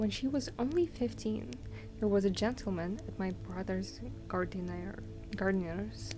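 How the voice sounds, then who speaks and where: A soft-spoken whisper at a fairly slow pace, with music playing in the background. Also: woman. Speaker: ASMR streamer / virtual streamer. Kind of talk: soft-spoken ASMR book reading for sleep. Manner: soft-spoken, whispery.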